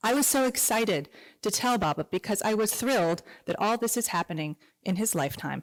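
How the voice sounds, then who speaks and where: A woman with a plain, everyday voice talks at a fairly quick pace and a medium pitch, with lively intonation. The recording is very clean, with a silent background and a dry, close sound with no echo. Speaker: grandchild giving a tribute. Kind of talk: tribute speech read aloud.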